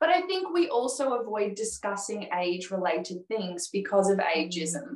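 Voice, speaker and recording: In an Australian accent, a woman speaks with very wide pitch swings. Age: 30s. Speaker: comedy teacher. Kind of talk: casual chat. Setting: video call.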